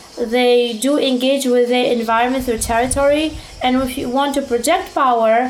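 Through noticeable background noise and audible room echo, a woman speaks in a high pitch with fairly even intonation. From immigrant to the US from another country. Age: 30s. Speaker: dating and status commentator. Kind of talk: interview.

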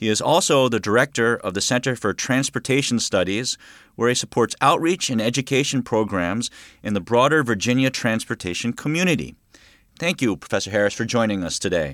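A man with an American accent has an unremarkable speaking voice at medium pitch, talking at a fairly quick pace with lively intonation. The recording is very clean and dry, close and free of echo, with a silent background. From Maryland, US. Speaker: podcast host and mathematics professor. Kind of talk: scripted narration; interview.

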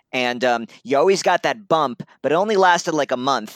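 A man's plain, everyday voice with an American accent at a fairly quick pace, with ordinary pitch variation and a dry, close sound with no echo, on a very clean recording with a silent background. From US Northeast, Brooklyn and upstate New York. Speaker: comics journalist. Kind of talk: casual chat.

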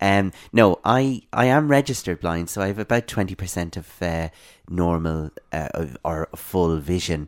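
In a very clean recording with a silent background and a dry, close sound with no echo, a man with an Irish accent speaks at a moderate pace, his very deep, low pitch carried by lively intonation. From Ireland, west (Ballinasloe) and Dublin. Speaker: blind advocate. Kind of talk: interview. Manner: halting, many fillers.

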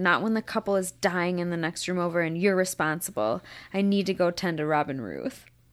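A fairly low-pitched female voice at a moderate pace with ordinary pitch variation, on a very clean recording with a silent background. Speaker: podcast guest. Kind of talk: casual chat. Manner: loud.

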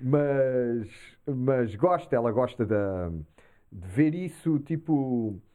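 Here a man talks at a very slow pace in a medium pitch. His intonation is lively. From Portugal. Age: 40s. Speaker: comedian and musician. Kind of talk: casual chat.

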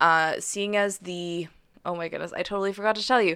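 A woman with a Western Canadian accent speaks at a fairly quick pace in a fairly low pitch, recorded very cleanly against a silent background. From Calgary, Alberta, Canada. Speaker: journalist and podcast producer. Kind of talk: interview. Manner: hesitant, many fillers.

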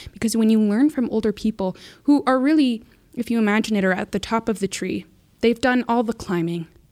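A normal speaking voice from a woman, fairly high in pitch, with ordinary pitch variation, a fairly quick pace and a dry, close sound with no echo. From Canadian prairies, First Nations reserve. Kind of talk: casual chat.

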